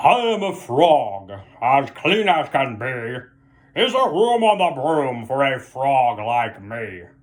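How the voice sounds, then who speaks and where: A man puts on a croaky character voice at medium pitch. He goes at a very slow pace with hardly any pauses. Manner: polite.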